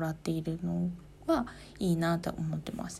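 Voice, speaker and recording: A woman speaks in a calm tone at a moderate pace, her pitch fairly low. Her voice has a dark, mellow tone and is somewhat breathy. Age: 30s. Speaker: podcaster, office worker. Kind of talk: solo talk.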